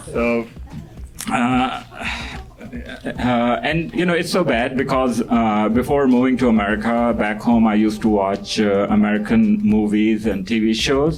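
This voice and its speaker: Speaking at a fairly slow pace with a Pakistani accent, a man keeps very even loudness and ordinary pitch variation, amid audible room echo and noticeable background noise. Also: medium pitch for a man. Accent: Pakistani accent, natural. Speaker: stand-up comedian. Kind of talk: stand-up. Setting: stage with audience. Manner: halting, many fillers.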